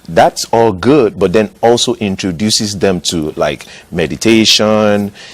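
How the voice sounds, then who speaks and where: A man with a Nigerian accent speaks fairly slowly at a fairly low pitch. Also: ordinary pitch variation. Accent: Nigerian (Yoruba) English. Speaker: pastor. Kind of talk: TV interview.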